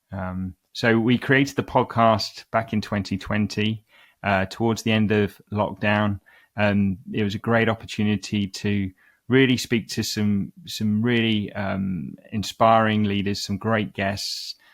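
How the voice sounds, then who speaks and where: On a very clean recording with a silent background and a dry, close sound with no echo, a man with a London accent talks at a fairly low pitch with fairly even intonation. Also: fairly slow pace. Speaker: CEO of executive search firm, podcast host. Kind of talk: interview. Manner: hesitant with frequent fillers.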